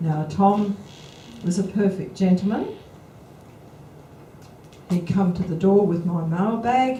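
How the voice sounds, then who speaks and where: Amid noticeable background noise, a woman with an Australian accent speaks at a very slow pace and a medium pitch, with ordinary pitch variation and long, frequent pauses. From Adelaide, South Australia. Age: 70s. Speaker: author and public speaker on outback life. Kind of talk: after-lunch talk to a club audience. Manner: chatty, anecdotal.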